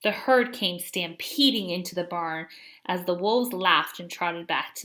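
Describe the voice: Someone does plain reading aloud here.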